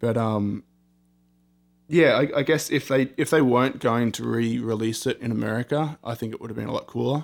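Speaking at a fairly quick pace, a man has an Australian accent. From Australia, Sydney. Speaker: rock band guitarist. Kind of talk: interview. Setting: recording studio.

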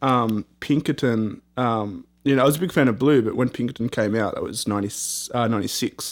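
Captured on a very clean recording with a silent background, a man with an Australian accent talks at a moderate pace with ordinary pitch variation. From Australia, Sydney. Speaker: rock band guitarist. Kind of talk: interview. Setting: recording studio.

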